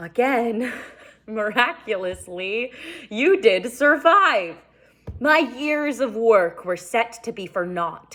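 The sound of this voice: Someone puts on a character voice with a fairly bright tone. The intonation is lively and the pace slow. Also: woman, fairly high pitch for a woman.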